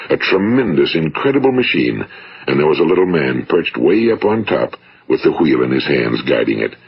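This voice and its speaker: Fairly quick speech from a man with an American accent, noticeable background noise behind it. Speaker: motivational speaker. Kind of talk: motivational talk, broadcast-style narration. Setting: vintage 1950s studio recording. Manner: measured, earnest, authoritative.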